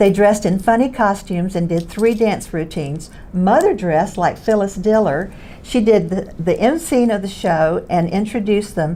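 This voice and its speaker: With a Southern US accent, a woman speaks at medium pitch and a moderate pace with ordinary pitch variation over noticeable background noise. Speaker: former beauty queen and singer. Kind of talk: casual chat.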